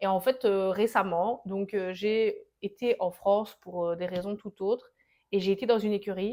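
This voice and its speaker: A woman speaks in a strong Liège accent at a medium pitch. Her tone is dark and mellow, and her pace fairly slow. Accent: thick Liège. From Belgium, Liège. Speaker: entrepreneur, riding-wear brand founder. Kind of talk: interview. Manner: animated; talkative.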